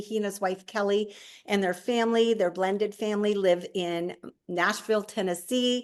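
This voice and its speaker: A fairly high-pitched woman's voice with an American accent, over a quiet background. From US Midwest, northwest Iowa. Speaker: network marketing leader. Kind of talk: video call hosting. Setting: video call.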